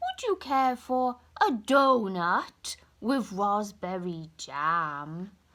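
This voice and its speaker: In a put-on character voice, a woman speaks very slowly at a medium pitch. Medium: read story.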